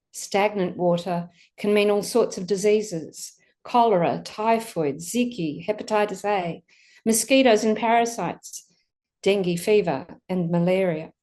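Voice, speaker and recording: With an Australian accent and a dark, mellow tone, a woman speaks at a moderate pace and medium pitch with ordinary pitch variation over a quiet background. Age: 60s. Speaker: pastor. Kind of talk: sermon.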